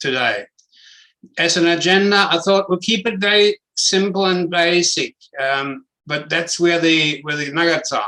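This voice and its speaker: A man's high, bright, sharp voice with a German accent at a fairly slow pace. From Germany. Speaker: property investment educator. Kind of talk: webinar presentation. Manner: direct.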